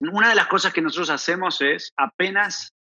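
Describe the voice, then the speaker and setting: This is a man speaking. He has an Argentine accent. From Argentina. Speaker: proptech startup founder. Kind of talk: podcast interview. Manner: halting, repeats words.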